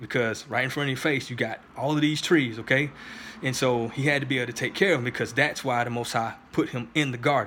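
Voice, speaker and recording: With a bright, sharp tone and medium pitch, a man speaks at a fairly quick pace with fairly even intonation. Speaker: YouTube commentator responding to a video. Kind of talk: response video commentary with Bible reading.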